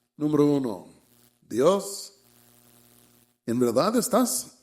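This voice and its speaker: Audible room echo surrounds a man's voice. He has a fairly high pitch with very wide pitch swings. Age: 70s. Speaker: preacher. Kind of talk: sermon.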